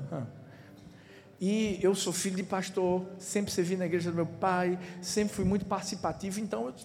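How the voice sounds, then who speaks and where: A man's high voice at a moderate pace, with audible room echo. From Recife, Pernambuco, Brazil. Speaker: pastor. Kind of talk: sermon. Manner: animated.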